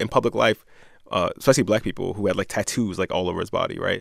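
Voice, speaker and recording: Recorded very cleanly against a silent background, a man speaks at a very fast pace with a dry, close sound and no echo. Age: 30s. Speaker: podcast co-host. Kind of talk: casual chat.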